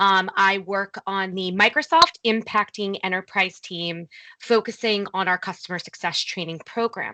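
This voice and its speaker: In a New Jersey accent, a woman speaks at a moderate pace with a medium pitch, ordinary pitch variation and a bright, sharp tone, the sound dry and close with no echo against a quiet background. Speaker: corporate training program lead. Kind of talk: virtual meeting presentation.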